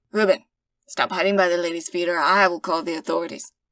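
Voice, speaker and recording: A woman does a put-on character voice that is raspy and fairly low in pitch. She races along at a very fast pace. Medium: read story. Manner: arrogant, menacing.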